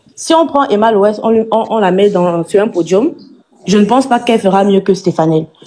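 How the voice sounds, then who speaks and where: Speaking with a Cameroonian accent, the woman has a medium pitch. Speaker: live stream participant. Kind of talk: heated debate. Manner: animated; halting, many repetitions.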